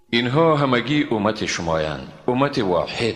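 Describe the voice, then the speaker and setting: Soft-spoken and medium in pitch, a man talks at a fairly slow pace with very wide pitch swings over noticeable background noise. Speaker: Quran translator. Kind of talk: scripture translation reading. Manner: calm, soft.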